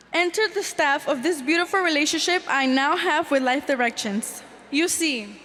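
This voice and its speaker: Noticeable background noise sits behind a woman speaking at a moderate pace. Her high pitch shows ordinary variation, and her loudness stays very even. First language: Spanish. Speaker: youth program participant, student speaker. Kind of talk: prepared testimony speech.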